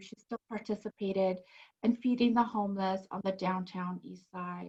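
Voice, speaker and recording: Somewhat breathy speech from a woman, flat and monotone in intonation. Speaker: podcast host. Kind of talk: show introduction.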